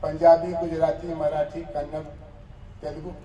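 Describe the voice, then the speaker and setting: A man is heard with noticeable noise in the background. His voice also has audible room echo. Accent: Bihari. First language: Bhojpuri (speaking Hindi). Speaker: professor. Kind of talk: lecture.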